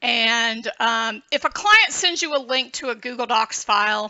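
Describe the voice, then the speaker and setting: A woman speaks at a fairly slow pace with a Southern accent. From US South, Georgia. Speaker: book designer and tutorial creator. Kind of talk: tutorial. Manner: casual, hesitant with fillers.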